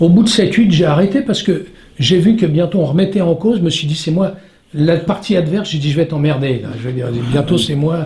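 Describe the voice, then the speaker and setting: A man speaks with a fairly high pitch. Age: 60s. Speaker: stuntman. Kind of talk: interview. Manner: halting.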